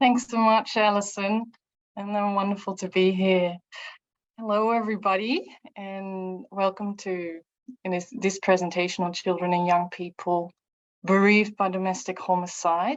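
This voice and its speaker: Her pitch is medium and her intonation fairly even, with a Dutch accent. The woman keeps a moderate pace. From Netherlands. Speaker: researcher and psychologist. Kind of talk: online lecture. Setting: video call. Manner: halting.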